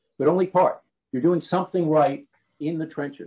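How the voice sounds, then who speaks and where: A man speaks with an American accent. His voice sounds somewhat breathy. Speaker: professor. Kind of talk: lecture. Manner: fast.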